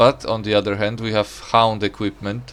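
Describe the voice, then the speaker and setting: Over music in the background, a man with a Polish accent speaks at a fairly slow pace in a fairly low voice. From Poland. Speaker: gaming streamer. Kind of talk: casual live-stream commentary while gaming. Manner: loud; casual, hesitant with fillers.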